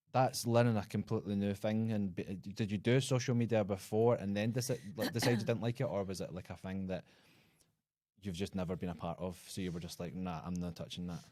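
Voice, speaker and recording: A man's fairly low, dark and mellow voice at a fairly quick pace, with ordinary pitch variation. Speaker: podcast host. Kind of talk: casual podcast conversation.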